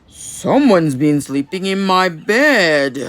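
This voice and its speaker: A gruff put-on character voice at a middle pitch and a fairly slow pace. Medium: read story.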